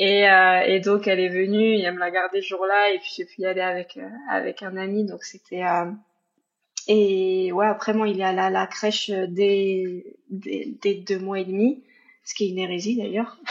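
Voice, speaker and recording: A woman with a normal speaking voice talks at medium pitch and a moderate pace, her intonation fairly even. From Paris region, France. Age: 30s. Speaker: single mother. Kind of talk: personal testimony interview.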